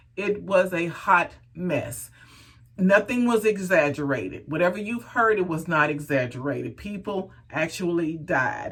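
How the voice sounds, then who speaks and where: Speaking fairly slowly with an American accent, a woman uses a fairly low pitch and an animated tone. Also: lively intonation. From Texas. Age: 50s. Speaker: hair care vlogger. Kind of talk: casual vlog talk.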